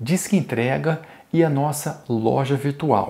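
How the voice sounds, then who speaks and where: A man's somewhat breathy, dark, mellow tone at a very slow pace. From Brazil. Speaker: toy store seller. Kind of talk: sales pitch. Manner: formal; upbeat. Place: studio. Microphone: lapel.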